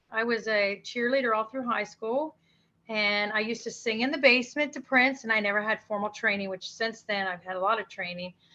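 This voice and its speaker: A woman with a normal speaking voice and an American accent talks at a fairly quick pace, her pitch fairly high with ordinary variation. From Maryland, US. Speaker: singer-songwriter. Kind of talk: interview.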